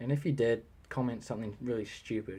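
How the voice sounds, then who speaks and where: With a somewhat breathy quality, a man talks in a mid-range pitch. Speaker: Lego builder showing his model. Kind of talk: casual product walkthrough, unscripted. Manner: rambling, halting with self-repeats.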